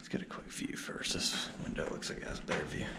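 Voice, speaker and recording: Noticeable background noise sits under a man talking at a moderate pace. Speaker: elevator enthusiast. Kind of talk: casual narration while filming. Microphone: phone near.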